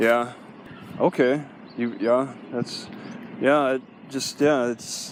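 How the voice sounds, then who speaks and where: A man with a slight Midwestern accent speaks at a medium pitch in a monotone, flat intonation. His pace is very slow, with long, frequent pauses. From US Midwest (Wisconsin). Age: 50s. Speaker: first amendment auditor. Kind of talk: casual conversation with police officer. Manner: halting.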